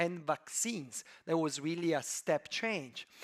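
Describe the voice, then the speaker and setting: A man with a slight Italian accent at a moderate pace, in a dry, close sound with no echo. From Italy, Turin. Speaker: venture capital investor. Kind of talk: conference talk. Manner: hesitant, many fillers.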